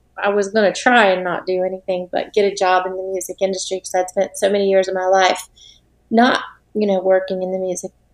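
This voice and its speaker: Someone with an American accent talks at a fairly quick pace in a monotone, flat intonation. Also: woman. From Florida (Tampa Bay). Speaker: music publisher and songwriter. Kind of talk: podcast interview. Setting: remote call.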